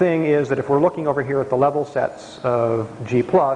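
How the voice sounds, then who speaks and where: Noticeable noise runs in the background. A man speaks at a fairly high pitch. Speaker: mathematics professor. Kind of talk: lecture. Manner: fast.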